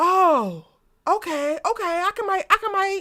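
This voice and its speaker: A woman with an American accent speaks in a raised, projected voice at an extremely high pitch, with a bright, sharp and animated tone. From Baltimore, US. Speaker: TV commentary YouTuber. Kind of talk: casual livestream chat. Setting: livestream. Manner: fast.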